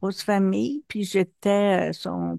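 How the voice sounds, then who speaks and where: Her dark, mellow voice comes through dry and close with no echo over a quiet background. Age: 70s. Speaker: hypnosis session client. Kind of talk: personal testimony in therapy intake. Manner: hesitant, many fillers.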